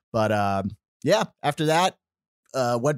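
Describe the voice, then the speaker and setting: A man with an American accent speaks fairly slowly, with a dry, close sound with no echo, in a very clean recording with a silent background. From upstate New York, later US South (Georgia). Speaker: church intern, former army officer and seminary student. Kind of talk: casual interview. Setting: podcast studio.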